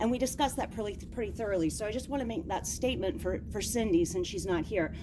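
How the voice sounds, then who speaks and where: With vocal fry and a dark, mellow tone, a woman talks very fast at medium pitch with lively intonation. Room echo can be heard. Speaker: citizen at public comment. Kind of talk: public comment. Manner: loud.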